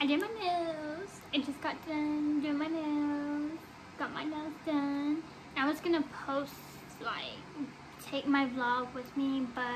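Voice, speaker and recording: A woman talks very slowly at a high pitch, with long, frequent pauses. Her intonation is fairly even, and there is noticeable background noise. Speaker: vlogger. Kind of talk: casual vlog chat. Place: home room. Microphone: phone near.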